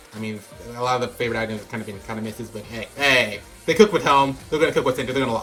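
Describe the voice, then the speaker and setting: Over noticeable background noise, a man with a medium-pitched voice talks very fast, his loudness swinging a lot and his pitch varying in an ordinary way. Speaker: gaming youtuber. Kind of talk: reading aloud with commentary. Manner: stumbles over words; casual, slangy.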